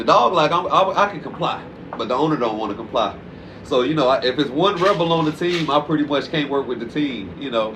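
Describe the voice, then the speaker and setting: A man with lively intonation, audible room echo and noticeable background noise. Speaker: dog trainer. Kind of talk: casual interview. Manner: fast; animated.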